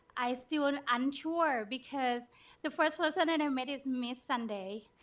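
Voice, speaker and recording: With ordinary pitch variation, the speaker talks in a non-native accent. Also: woman, very clean recording, silent background. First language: not English. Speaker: abuse survivor, program participant. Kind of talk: testimony. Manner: halting.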